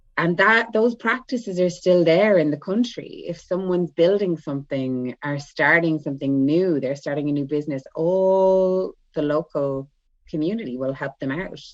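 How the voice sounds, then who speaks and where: A woman's fairly low voice in an Irish accent, moderate in pace, with lively intonation. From Ireland. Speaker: spiritual guide and light language channeler. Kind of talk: casual chat.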